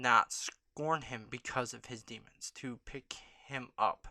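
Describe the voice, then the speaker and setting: A soft-spoken voice comes through on a very clean recording with a silent background. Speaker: YouTube vlogger. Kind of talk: casual vlog monologue. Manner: hesitant, many filler ums.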